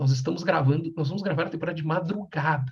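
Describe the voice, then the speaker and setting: A soft-spoken man with a high pitch, talking at a very fast pace. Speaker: podcast co-host. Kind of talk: casual chat. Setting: home at night. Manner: speaking softly.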